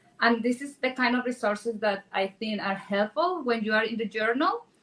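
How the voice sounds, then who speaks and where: With a Spanish accent, a woman speaks at a fairly high pitch, her tone bright and sharp, with ordinary pitch variation. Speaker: real estate agent and event sponsor. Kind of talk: panel discussion. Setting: stage with audience.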